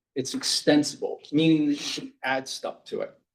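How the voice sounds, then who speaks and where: A man is speaking. His pace is fairly slow. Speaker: tech presenter, network engineer. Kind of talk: technical talk at a user group meeting. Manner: casual, filler-heavy.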